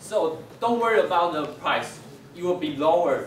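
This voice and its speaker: With audible room echo and light background noise, a man speaks at a fairly slow pace with ordinary pitch variation. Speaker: presenter. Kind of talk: class presentation. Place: classroom. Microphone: camera far.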